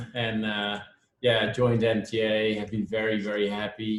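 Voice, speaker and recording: A man speaks with a Dutch accent. His pitch is fairly low. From Netherlands. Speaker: parent. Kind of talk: video call introduction.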